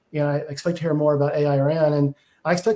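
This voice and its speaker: A man with a Texas accent, a fairly high pitch, ordinary pitch variation and a fairly quick pace. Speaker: technology industry analyst, podcast co-host. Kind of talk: casual podcast discussion. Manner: frequent fillers and repetitions.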